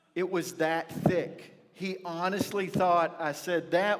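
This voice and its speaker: A man with an American accent, high-pitched and very slow, over noticeable background noise. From rural north Texas (near Pilot Point). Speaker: pastor. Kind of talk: sermon. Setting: church. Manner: animated storytelling.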